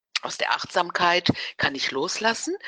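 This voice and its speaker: A woman speaks at a fairly slow pace. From Ruhr area, Germany (Dortmund/Gelsenkirchen). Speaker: naturopath. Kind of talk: interview.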